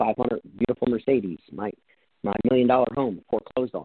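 A medium-pitched man's voice with an American accent at a fairly quick pace. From New Jersey. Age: 40s. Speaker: real estate investor and entrepreneur. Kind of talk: interview.

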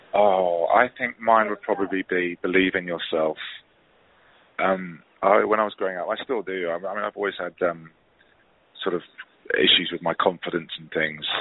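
With a southern English accent, a man with a very deep, low pitch speaks at a moderate pace, using fairly even intonation and long, frequent pauses. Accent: British English, southern English. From southeast England, Hastings. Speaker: musical theatre actor. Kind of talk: interview. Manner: halting, many fillers and restarts.

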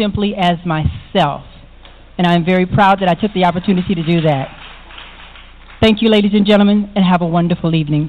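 With an American accent, a woman speaks at medium pitch. Her pace is fairly quick, with ordinary pitch variation. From South Bend, Indiana. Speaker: drag pageant titleholder. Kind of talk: casual interview.

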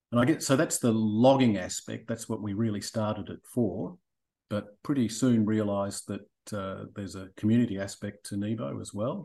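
This man has a fairly low pitch and a dark, mellow tone, speaking with an Australian accent at a moderate pace and with ordinary pitch variation. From Australia (Melbourne). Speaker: boating app managing director, former geologist. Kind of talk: interview. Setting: remote call from Australia in the evening.

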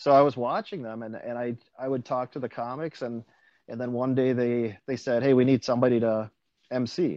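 A man with an American accent has an unremarkable speaking voice at medium pitch. He talks at a moderate pace with fairly even intonation and big swings in loudness. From central Wisconsin. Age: 40s. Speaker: stand-up comedian. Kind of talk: casual interview.

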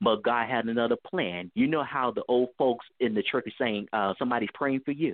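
A man with an American accent has a plain, everyday voice at medium pitch with ordinary pitch variation. He talks at a moderate pace with hardly any pauses. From US West Coast, Bay Area (Richmond, California). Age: 30s. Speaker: author and community organizer. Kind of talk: interview.

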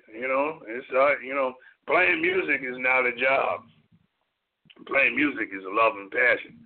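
A man with an American accent speaks at a fairly slow pace. His loudness swings widely, and he leaves long, frequent pauses. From US Midwest, Wisconsin. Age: 50s. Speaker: jazz drummer. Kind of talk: casual chat. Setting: phone call.

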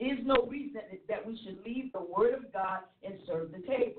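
At a moderate pace, a woman talks in a plain, everyday voice. Her pitch is fairly high. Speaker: church leader panelist. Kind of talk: ministry teaching discussion. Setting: internet radio show.

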